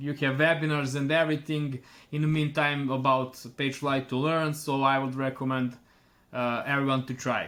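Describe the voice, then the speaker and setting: A man with a Serbian accent, fairly high in pitch, in a monotone, flat intonation at a moderate pace. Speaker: online store owner. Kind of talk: customer testimonial. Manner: halting, many fillers.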